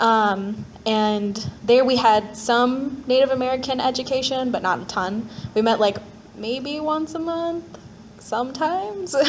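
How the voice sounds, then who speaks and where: With a Minnesota accent, a woman speaks at a high pitch and a fairly slow pace with ordinary pitch variation, over noticeable background noise. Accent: Upper Midwest (Minnesota). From Minneapolis, Minnesota. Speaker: panelist sharing personal story. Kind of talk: personal testimony at panel. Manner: casual, filler-heavy.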